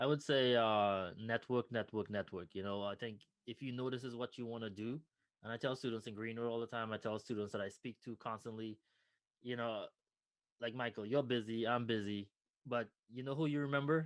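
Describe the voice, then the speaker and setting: A man talks in a Trinidadian accent at a medium pitch. His pace is fairly quick and his intonation fairly even. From Trinidad and Tobago. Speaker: nonprofit founder, former finance professional. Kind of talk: interview conversation.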